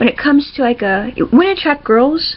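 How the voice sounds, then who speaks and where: Speech moves at a moderate pace. Its intonation rises and falls in a lively way. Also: woman. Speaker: comic creator. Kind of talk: casual talk to camera. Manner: stuttering, hesitant.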